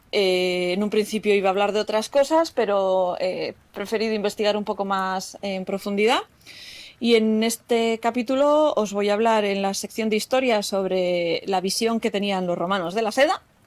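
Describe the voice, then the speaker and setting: A woman with a Basque accent at a moderate pace, medium pitch and ordinary pitch variation. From Basque Country. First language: Basque (speaking Spanish). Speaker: podcast host, textile crafter. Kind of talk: solo podcast talk.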